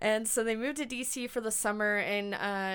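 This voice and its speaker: Speaking at a moderate pace, a woman with an American accent has a normal speaking voice. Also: very clean recording, silent background. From US South. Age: 20s. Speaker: podcast host, music journalist. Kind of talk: casual chat.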